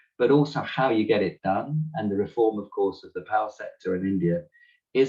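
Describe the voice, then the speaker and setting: At a moderate pace, a man with a British accent speaks with lively intonation. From Britain. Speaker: climate economist panelist. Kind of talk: webinar presentation.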